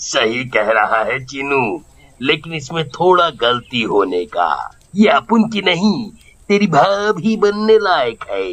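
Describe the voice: Using a put-on character voice, a man speaks slowly with few pauses, at a medium pitch with big pitch swings and a fairly bright tone.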